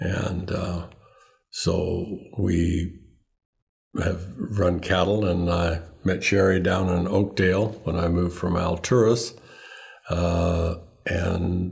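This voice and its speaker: A man with an American accent speaks very slowly in a very deep, low, somewhat breathy voice with monotone, flat intonation, and audible room echo surrounds him. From Northern California, Sacramento Valley. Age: 70s. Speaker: farmer and rancher. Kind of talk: interview.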